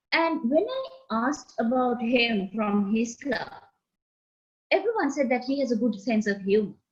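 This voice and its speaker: Lively in intonation, a woman with a Sri Lankan accent speaks at a moderate pace and a fairly high pitch. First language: Sinhala. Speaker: meeting host, Toastmaster. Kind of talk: club meeting introductions.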